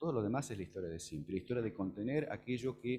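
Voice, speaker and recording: A man's dark, mellow voice with vocal fry and lively intonation. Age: 60s. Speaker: law professor, panel speaker. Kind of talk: conference talk. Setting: auditorium with audience.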